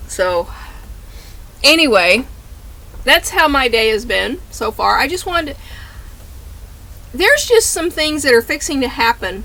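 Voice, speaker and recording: At a fairly slow pace, a woman with a high pitch projects her raised voice, leaving long, frequent pauses. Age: old. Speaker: tarot reader and vlogger. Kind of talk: casual chat. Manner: halting, repetitive stammering.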